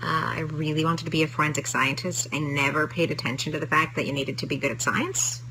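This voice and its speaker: A woman speaks at a very fast pace with a very deep, low pitch. Her intonation stays fairly even, and noticeable background noise runs underneath. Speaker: TV writer. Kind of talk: casual chat. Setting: live stream. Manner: halting.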